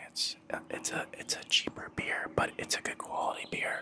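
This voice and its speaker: Whispering at a moderate pace, a man keeps a relaxed tone over noticeable background noise. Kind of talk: casual talk to camera. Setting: outdoors by a fire pit. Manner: whispered, relaxed.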